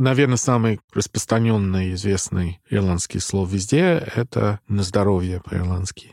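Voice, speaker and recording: Fairly low-pitched man's voice at a fairly slow pace, ordinary pitch variation, very clean recording with a silent background. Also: dry, close sound with no echo. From Ireland, Dublin. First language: English (speaking Russian). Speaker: musician. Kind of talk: casual chat.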